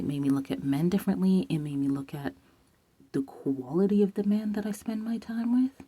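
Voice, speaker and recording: A woman's fairly low-pitched, somewhat breathy voice with a dark, mellow tone. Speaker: vlogger talking about celibacy. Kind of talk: casual vlog monologue. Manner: whispering at times.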